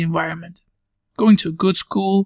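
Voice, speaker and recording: A man with a Belgian accent talks at a very fast pace and a high pitch. The sound is dry and close, with no echo. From Belgium, near Brussels. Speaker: podcast host. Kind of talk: podcast monologue.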